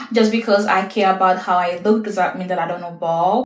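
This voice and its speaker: Against noticeable background noise, a woman speaks at a medium pitch. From Haiti. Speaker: lifestyle content creator. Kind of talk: get-to-know-me Q&A monologue.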